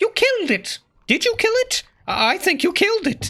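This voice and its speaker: The voice is a put-on character voice. It sits at an extremely high pitch and moves at a moderate pace. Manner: chattering.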